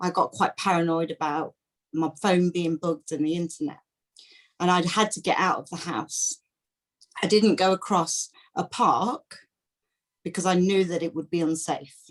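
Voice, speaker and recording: In an East Midlands accent, a woman with a fairly low pitch speaks at a moderate pace with ordinary pitch variation and long, frequent pauses. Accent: English Midlands (Leicester). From England, Leicester. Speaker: workshop participant. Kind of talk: Q&A question. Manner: halting.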